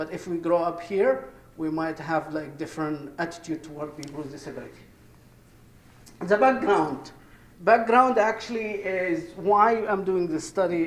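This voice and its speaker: With an Egyptian accent, a man talks at a moderate pace in a high pitch with ordinary pitch variation, amid audible room echo and noticeable background noise. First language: Arabic. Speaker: professor. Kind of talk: conference presentation. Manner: halting.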